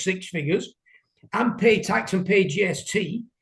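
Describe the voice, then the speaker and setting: A man with a British accent speaks in a high voice with lively intonation. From England. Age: 60s. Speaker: window cleaner. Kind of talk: interview. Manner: hesitant.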